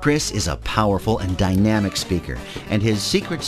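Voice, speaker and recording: Music plays behind a voice whose pitch swings very widely. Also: man. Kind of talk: promotional voiceover narration.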